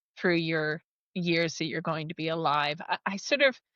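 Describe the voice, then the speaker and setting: Dry and close with no echo, a woman's bright, sharp voice with an American accent sits over a quiet background. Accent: American, unchanged. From United States. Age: 40s. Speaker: technology company leader. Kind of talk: podcast interview.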